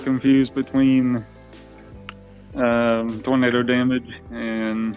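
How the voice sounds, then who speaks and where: With music in the background, a man speaks at medium pitch in a flat monotone. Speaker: guest host, storm spotter. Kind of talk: podcast guest answer.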